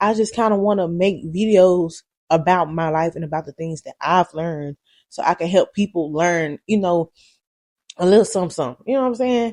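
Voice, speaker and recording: Speaking with a Southern US accent at a fairly quick pace, this voice swings widely in loudness and uses ordinary pitch variation. The sound is dry and close, with no echo. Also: woman, fairly low pitch for a woman. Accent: country Southern. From Alabama, US South. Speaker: YouTuber. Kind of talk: casual vlog talk. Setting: at home. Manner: fast at times.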